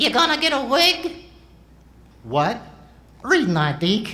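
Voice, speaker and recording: Using a put-on character voice, a man pitches it extremely high with very wide pitch swings. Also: fairly slow pace. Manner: cheeky, sassy.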